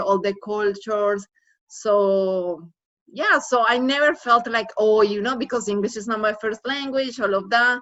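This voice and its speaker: A woman talks at a moderate pace in a fairly high pitch, with ordinary pitch variation. She speaks with a Spanish accent. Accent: foreign accent, Spanish. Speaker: former college student. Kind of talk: casual chat.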